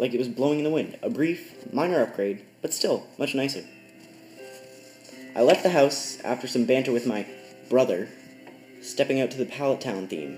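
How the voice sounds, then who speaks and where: Music plays in the background as a man speaks at a medium pitch. His pace is moderate and his pitch variation ordinary. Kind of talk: creepypasta narration. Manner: stuttering.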